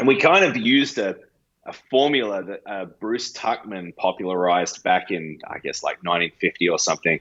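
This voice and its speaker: A man talks with an Australian accent at a fairly quick pace. His loudness swings widely. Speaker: pastor. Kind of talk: podcast interview answer.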